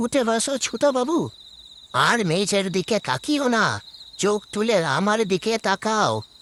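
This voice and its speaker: Using a put-on character voice, a man speaks high in pitch with lively intonation and very even loudness, in a dry, close sound with no echo. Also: fairly slow pace. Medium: audio drama.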